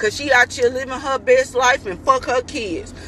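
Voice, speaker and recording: Over noticeable background noise, a woman uses a raised, projected voice at a high pitch. Her tone is animated and her pace fairly slow. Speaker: mother. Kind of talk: vlog rant. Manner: loud.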